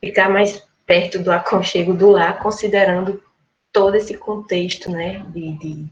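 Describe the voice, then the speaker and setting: The speaker has a northeastern Brazilian accent and a monotone, flat intonation at a fairly slow pace. Loudness swings widely throughout. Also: woman, medium pitch for a woman. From Rio Grande do Norte, Brazil. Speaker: history professor presenting her thesis. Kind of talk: academic lecture.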